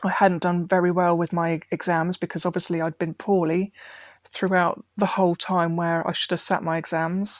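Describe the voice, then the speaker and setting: In an English accent, a woman with a fairly low voice speaks at a moderate pace in a monotone, flat intonation, the sound dry and close with no echo against a quiet background. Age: 40s. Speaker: heart failure patient. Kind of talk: personal testimony interview.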